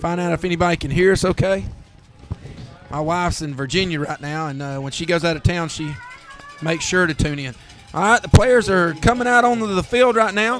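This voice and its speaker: Speaking at a fairly quick pace with a Southern US accent, a man has a high pitch and lively intonation, broken by long, frequent pauses. Noticeable background noise runs behind him. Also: big swings in loudness. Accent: Southern American. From US South. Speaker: play-by-play announcer. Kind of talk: live commentary. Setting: live radio broadcast at football stadium.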